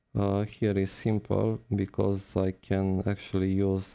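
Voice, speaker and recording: This man's voice has a dark, mellow tone, moving at a very slow pace with monotone, flat intonation. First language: not English. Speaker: phone repair technician. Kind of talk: live-stream tutorial. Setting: live stream.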